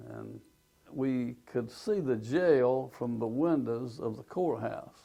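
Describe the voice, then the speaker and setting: Dark, mellow tone from a man with an Alabama accent, medium pitch, lively intonation and a fairly slow pace. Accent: Southern US (Alabama). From US South, Alabama. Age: 80s+. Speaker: retired businessman, tornado witness. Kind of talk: oral history testimony.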